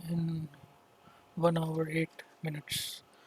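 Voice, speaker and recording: There is noticeable background noise as a man speaks at a high pitch. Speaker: 3D software tutorial maker. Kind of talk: tutorial. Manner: halting.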